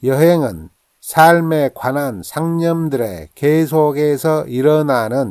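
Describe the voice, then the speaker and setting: This man has a dark, mellow tone and a fairly high pitch, with ordinary pitch variation, speaking at a very slow pace. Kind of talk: quote reading, calm narration of famous sayings.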